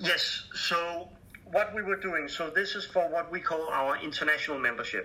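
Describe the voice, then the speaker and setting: Noticeable background noise surrounds a man speaking in a Danish accent at a moderate pace. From Denmark. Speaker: charity fundraising director. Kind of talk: interview. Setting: Skype call. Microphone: poor sound quality over Skype.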